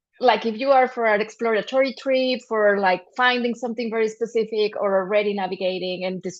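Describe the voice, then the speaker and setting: Speaking at a fairly quick pace, a woman with a fairly high pitch talks in a Spanish accent. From Mexico. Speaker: journalism trainer and panelist. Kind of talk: panel discussion. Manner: halting, with many repetitions and false starts.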